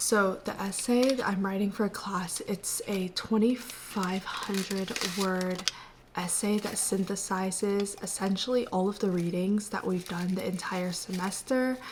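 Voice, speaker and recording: A woman's medium-pitched voice, fairly slow and fairly even in intonation, with noticeable background noise. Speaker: college student vlogger. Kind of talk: vlog narration. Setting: at home, early morning. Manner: soft-spoken.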